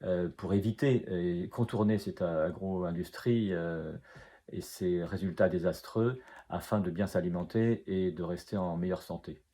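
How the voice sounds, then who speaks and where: A man's very deep, low pitch with a dark, mellow tone and fairly even intonation. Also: fairly slow pace. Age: 60s. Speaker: author, retired food industry engineer. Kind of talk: author interview about his book. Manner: hesitant, many filler sounds.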